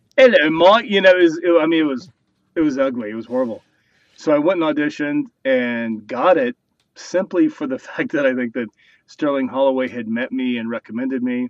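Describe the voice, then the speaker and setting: In a normal speaking voice with an American accent, a man talks at a fairly quick pace, his fairly high pitch showing ordinary pitch variation. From New Mexico. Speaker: actor. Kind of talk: interview.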